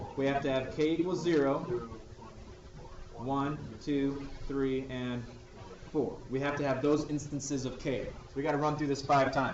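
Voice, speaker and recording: Recorded with audible room echo and noticeable background noise, a man with a fairly high pitch speaks at a moderate pace in a monotone, flat intonation, leaving long, frequent pauses. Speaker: math teacher. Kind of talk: classroom lecture.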